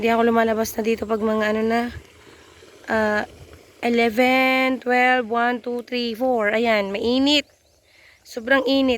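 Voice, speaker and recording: Pausing long and often, a woman speaks at a fairly high pitch in a monotone, flat delivery. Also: fairly slow pace. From Philippines, Isabela province. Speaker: vlogger. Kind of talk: casual vlog narration. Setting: outdoors.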